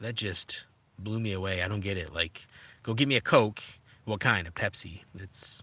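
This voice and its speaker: On a very clean recording with a silent background, a man with a slight Minnesota accent speaks at a moderate pace in a fairly low, bright, sharp voice with ordinary pitch variation. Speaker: adventure motorcycle vlogger. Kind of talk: live stream chat with viewers. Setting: in a tent while camping. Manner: casual, hesitant with many fillers.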